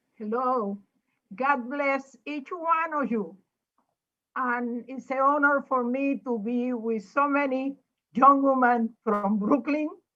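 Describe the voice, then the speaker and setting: Raised and projected, a woman's high-pitched voice with a bright, sharp tone and ordinary pitch variation comes at a very slow pace. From Puerto Rico. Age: 80s+. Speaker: former state legislator. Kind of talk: panel remarks.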